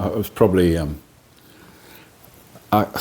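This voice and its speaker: At a fairly quick pace, a man speaks in a dark, mellow tone with vocal fry. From Midlands and Cornwall, England. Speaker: singer-songwriter. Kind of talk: radio interview. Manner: halting.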